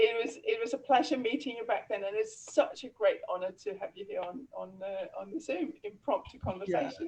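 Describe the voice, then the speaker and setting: The woman talks at a fairly quick pace with hardly any pauses. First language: not English. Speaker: laughter yoga teacher. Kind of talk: casual interview. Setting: video call.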